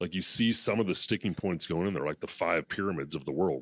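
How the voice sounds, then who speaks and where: Very fast delivery with ordinary pitch variation, in a dry, close sound with no echo. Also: man. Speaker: business coach. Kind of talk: interview answer.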